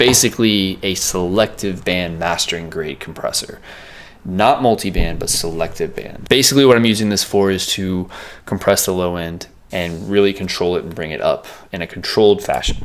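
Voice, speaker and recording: Over noticeable background noise, a man speaks in a very deep, low pitch with ordinary pitch variation. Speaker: music producer. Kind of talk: tutorial. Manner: fast; casual, filler words.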